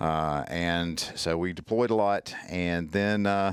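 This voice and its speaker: This man has a very deep, low voice and a strong Southern US accent. His pitch varies in an ordinary way. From US South, Mississippi. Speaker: tactical medicine instructor, former military medic. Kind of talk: casual interview chat. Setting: podcast. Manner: halting, many fillers.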